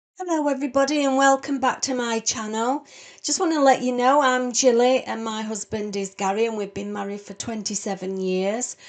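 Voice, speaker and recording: Against a quiet background, a woman with a British accent talks at a fairly quick pace in a fairly high pitch, her pitch varying in an ordinary way. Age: 60s. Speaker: home cook video host. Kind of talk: cooking tutorial. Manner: casual, chatty.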